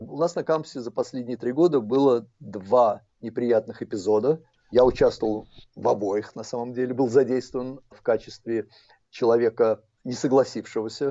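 A man with an ordinary speaking voice talks at a moderate pace and medium pitch with ordinary pitch variation. His loudness swings widely. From abroad, not US. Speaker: history professor. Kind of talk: interview.

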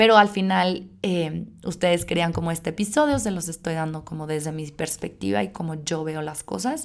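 A woman with an unremarkable speaking voice and a fairly low pitch speaks with hardly any pauses. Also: lively intonation, moderate pace. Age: 30s. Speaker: podcast host. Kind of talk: solo podcast monologue. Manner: casual with filler words.

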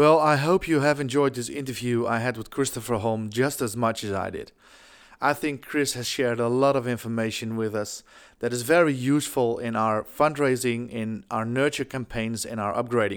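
Speaking at a moderate pace, a man with a Dutch accent keeps his intonation fairly even. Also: medium pitch for a man, very clean recording, silent background. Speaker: podcast host, fundraising consultant. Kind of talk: podcast narration; interview.

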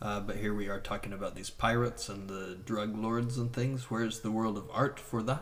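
A man's normal speaking voice with an American accent, at a moderate pace, with fairly even intonation and hardly any pauses. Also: fairly low pitch for a man. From United States. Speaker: visual artist. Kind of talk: casual interview chat.

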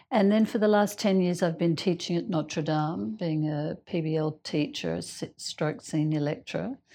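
Against a quiet background, a speaker with an Australian accent uses a dark, mellow tone and lively intonation at a fairly slow pace with hardly any pauses. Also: woman, fairly low pitch for a woman. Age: 60s. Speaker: doctor. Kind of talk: casual group conversation.

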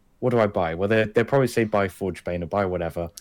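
This is a man talking. The rise and fall of his pitch is ordinary. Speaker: podcast co-host. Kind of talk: casual chat. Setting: remote call.

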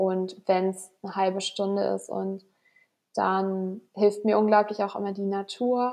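A woman speaks very slowly at a medium pitch, her intonation flat and monotone. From northern Germany, Flensburg. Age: 20s. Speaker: health management student and fitness instructor. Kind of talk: casual interview. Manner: hesitant, many fillers.

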